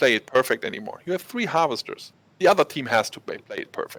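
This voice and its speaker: Someone with a German accent talks at a fairly quick pace, the sound dry and close with no echo. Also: man. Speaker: esports caster. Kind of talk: live commentary. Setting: studio, casting from the background. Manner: animated.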